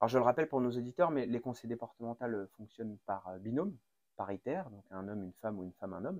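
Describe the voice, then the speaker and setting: A man with a medium pitch talks at a very fast pace, his intonation lively and his loudness swinging widely. The recording is very clean with a silent background, and the sound is dry and close with no echo. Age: 30s. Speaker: podcast host and mayor. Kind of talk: interview.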